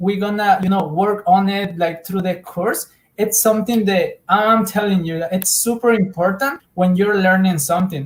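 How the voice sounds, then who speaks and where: A man with a Spanish accent speaks at a high pitch. His pace is fairly slow and his intonation fairly even. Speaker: Spanish teacher. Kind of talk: casual interview chat. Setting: live stream. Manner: halting, many fillers and repetitions.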